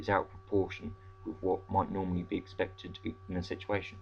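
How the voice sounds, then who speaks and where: Somewhat breathy and very deep in pitch, a man talks at a fairly quick pace. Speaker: vlogger. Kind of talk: casual vlog; reading aloud. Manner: halting; fast.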